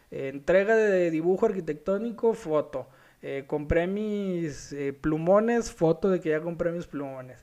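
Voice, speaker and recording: At a fairly slow pace, a man speaks at a high pitch with ordinary pitch variation. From Mexico, Culiacán (Sinaloa). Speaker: architect and podcast host. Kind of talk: solo podcast talk.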